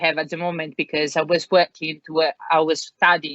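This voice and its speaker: Talking at a fairly quick pace, a woman speaks with an Italian accent. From Italy. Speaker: career changer entering learning and development. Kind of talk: podcast interview. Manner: hesitant, many fillers.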